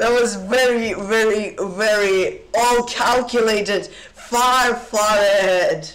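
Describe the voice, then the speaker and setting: A man's high-pitched voice, very slow, with fairly even intonation. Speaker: chess streamer. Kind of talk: live commentary. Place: home room.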